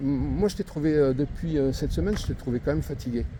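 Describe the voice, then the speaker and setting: Lively intonation from a male speaker, with noticeable noise in the background. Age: 60s. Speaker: video blogger and interviewer. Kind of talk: street interview. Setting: outdoors in a shopping area. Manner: halting, many hesitations.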